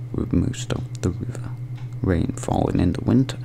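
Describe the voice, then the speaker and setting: Someone whispers in a gentle tone at a fairly slow pace against noticeable background noise. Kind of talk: ASMR gentle reading of facts. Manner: gentle, whispered.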